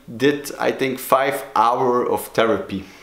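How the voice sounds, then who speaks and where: A man with a Flemish accent speaks at a medium pitch, with audible room echo around him. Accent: Belgian Dutch (Flemish) accent in English. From Belgium (Flemish). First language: Dutch. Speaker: sobriety coach, video blogger. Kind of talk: personal vlog talk. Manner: halting, many fillers.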